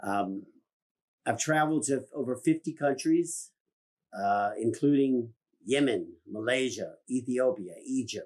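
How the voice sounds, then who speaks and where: A man with a Virginia accent, medium pitch, ordinary pitch variation and a fairly slow pace. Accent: Southern US (Virginia). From US South, rural Virginia. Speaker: business owner. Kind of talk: public statement.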